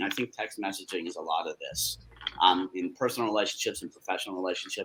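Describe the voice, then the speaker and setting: A man is speaking. His pace is very fast. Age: 60s. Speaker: communications agency executive. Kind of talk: panel discussion. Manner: halting, repeats words.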